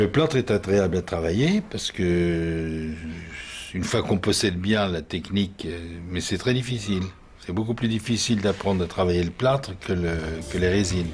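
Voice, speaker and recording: Speaking at a moderate pace, a man with a very deep, low pitch sounds somewhat breathy, with ordinary pitch variation. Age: 70s. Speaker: artisan plaster mould maker, workshop owner. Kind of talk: interview. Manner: halting, with repetitions and fillers.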